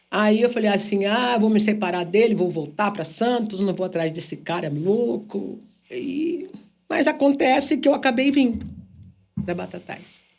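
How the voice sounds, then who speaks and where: This woman's voice is fairly high in pitch and swings very widely. She talks at a fairly slow pace. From São Paulo state, Brazil. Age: 60s. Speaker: businesswoman and singer. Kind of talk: podcast interview.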